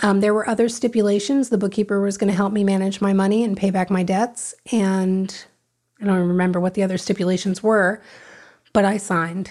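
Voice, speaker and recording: An American accent in a monotone, flat intonation, with very even loudness and a fairly quick pace, on a very clean recording with a silent background. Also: woman, medium pitch for a woman. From South Florida. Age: 50s. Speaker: recovering addict. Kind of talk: testimony.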